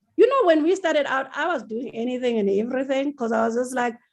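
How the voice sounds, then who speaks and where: A woman speaks loudly with a high pitch. Her intonation is lively. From South Africa. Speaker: TV writer and producer. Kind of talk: interview. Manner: animated.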